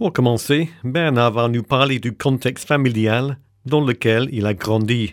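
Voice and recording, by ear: On a very clean recording with a silent background, a man speaks fairly slowly at medium pitch with ordinary pitch variation.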